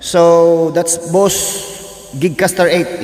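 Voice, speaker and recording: A man's voice over noticeable background noise. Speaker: vlogger and amateur singer. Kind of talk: casual gear tour vlog. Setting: bedroom home studio.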